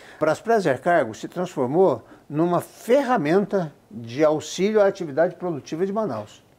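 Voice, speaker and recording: Very wide pitch swings mark a man's high-pitched voice in a very clean recording with a silent background. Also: moderate pace. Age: 70s. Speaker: business founder. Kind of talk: interview.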